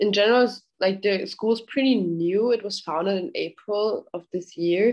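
The speaker, with a German accent, moves at a moderate pace and shows ordinary pitch variation. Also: woman. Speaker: podcast host. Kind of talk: interview.

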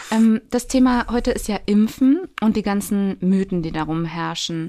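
A woman's dark, mellow tone at a moderate pace, on a very clean recording with a silent background. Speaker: podcast host and social worker. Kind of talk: casual chat. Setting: studio.

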